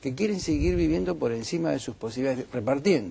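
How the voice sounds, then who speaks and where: A man talks at a very fast pace in a medium pitch with a dark, mellow tone and vocal fry. His pitch swings very widely. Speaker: economist. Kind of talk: heated debate.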